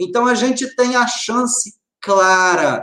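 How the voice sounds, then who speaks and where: Raised and projected, a man's bright, sharp voice moves at a very slow pace with lively intonation. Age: 40s. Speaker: lawyer and conservative commentator. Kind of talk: live-stream interview.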